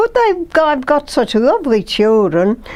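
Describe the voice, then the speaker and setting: A woman's voice with very wide pitch swings. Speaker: elderly mother recalling her life. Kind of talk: personal reminiscence.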